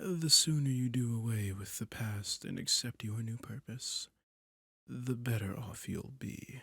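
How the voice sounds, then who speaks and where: In a put-on character voice, a man speaks fairly slowly at a medium pitch. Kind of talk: yandere seduction roleplay. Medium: audio drama. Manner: velvety, controlled, condescending.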